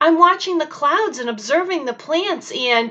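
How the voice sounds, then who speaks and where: A woman speaks in a put-on character voice pitched extremely high. Her pace is moderate. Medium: read story.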